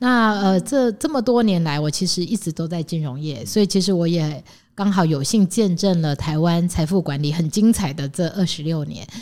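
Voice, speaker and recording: A woman's dark, mellow tone at a fairly low pitch, with lively intonation, a moderate pace and hardly any pauses. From Taiwan, Taichung. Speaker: finance executive. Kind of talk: interview.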